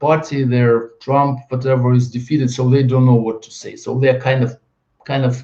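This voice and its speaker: Somewhat breathy and dark, mellow in tone, a man with a Russian accent speaks at a moderate pace and medium pitch. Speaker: video blogger. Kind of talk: monologue video blog. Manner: halting.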